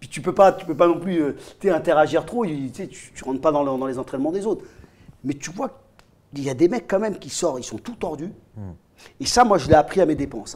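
A man talks at a fairly quick pace with lively intonation. His loudness swings widely, broken by long, frequent pauses. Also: fairly high pitch for a man. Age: 50s. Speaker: MMA coach, co-host. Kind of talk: casual chat. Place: home room. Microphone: lapel.

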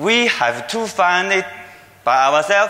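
Speaking in a raised, projected voice with a Chinese accent, a man talks at a fairly slow pace with a high pitch and lively intonation. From China. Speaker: security researcher. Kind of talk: conference talk. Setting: stage with audience. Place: hall. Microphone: podium.

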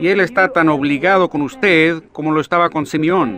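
A man's bright, sharp voice, fairly high in pitch, with lively intonation. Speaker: preacher. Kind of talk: sermon preaching.

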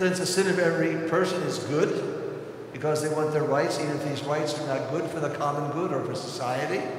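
Amid strong room echo and light background noise, a man speaks at a moderate pace with a fairly high pitch and flat, monotone intonation. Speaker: priest giving homily. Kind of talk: homily urging the congregation to act. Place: church. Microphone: podium.

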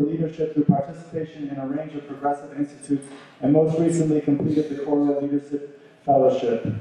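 This man's voice sits fairly high and stays flat and monotone. He speaks very fast in a room with strong echo. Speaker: event host. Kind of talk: formal introduction. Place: hall.

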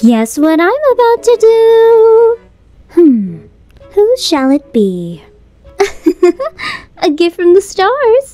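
At a very slow pace with long, frequent pauses, a woman with an extremely high voice makes very wide pitch swings, recorded dry and close with no echo over faint background music. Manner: bright, friendly.

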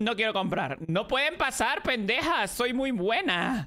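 An animated voice with a bright, sharp tone and very wide pitch swings comes through a very clean recording with a silent background. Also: woman. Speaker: streamer. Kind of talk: gaming livestream. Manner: loud. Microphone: too quiet.

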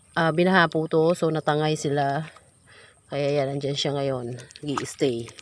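A woman speaks at a very slow pace with long, frequent pauses. Her very deep, low voice is monotone, with flat intonation. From Philippines, rural province. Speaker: vlogger. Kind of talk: vlog narration. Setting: outdoors, in flooded fields.

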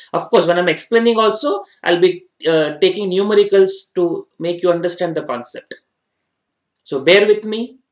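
The background is quiet, though room echo can be heard. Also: man, high pitch for a man, ordinary pitch variation, moderate pace. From India. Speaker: finance exam tutor. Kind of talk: online lecture. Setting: online class with slides. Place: studio.

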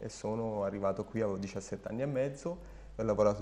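In a dark, mellow tone, a man with a fairly low pitch talks at a very fast pace with ordinary pitch variation. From Germany, German mother and Sardinian father. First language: German (speaking Italian). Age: 30s. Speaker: jockey and horse trainer; horse trainer. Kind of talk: interview. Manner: hesitant, with repetitions. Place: home room.

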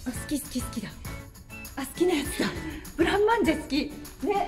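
Against clear music in the background, a woman speaks very fast at a high pitch with lively intonation. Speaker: TV reporter. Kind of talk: casual travel report to camera. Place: hall. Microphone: camera far.

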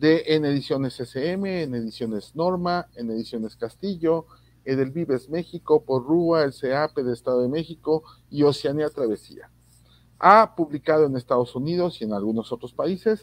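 A man speaks at a moderate pace with ordinary pitch variation. The sound is dry with no echo, and the background is quiet. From Mexico. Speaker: reading promoter and online show host. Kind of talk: casual panel conversation; guest introduction. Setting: video call. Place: home room. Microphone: video call.

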